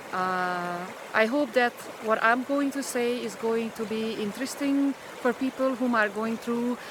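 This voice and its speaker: A woman with a Hungarian accent speaks at a fairly slow pace, her pitch fairly high with ordinary variation. Noticeable background noise runs under the recording. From Hungary. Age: 50s. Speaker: spiritual vlogger. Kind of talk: personal vlog monologue. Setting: outdoors in a pine forest. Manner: halting, many fillers.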